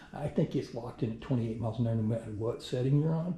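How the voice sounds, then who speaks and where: At a very fast pace, a man with a medium pitch and a dark, mellow, somewhat breathy tone speaks amid audible room echo. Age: 60s. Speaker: product reviewer, retiree. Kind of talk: casual video review. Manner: casual, halting with fillers.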